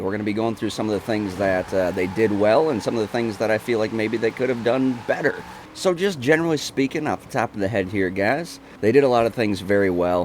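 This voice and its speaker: A man with a fairly low pitch talks at a very fast pace, with ordinary pitch variation. Noticeable background noise is present. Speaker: gaming YouTuber. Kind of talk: live gameplay commentary review. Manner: casual, occasionally halting while concentrating; animated.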